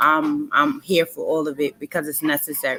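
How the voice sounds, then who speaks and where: Noticeable noise sits in the background. A woman talks with an American accent. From US South, South Carolina. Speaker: author and motivational speaker. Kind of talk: interview conversation.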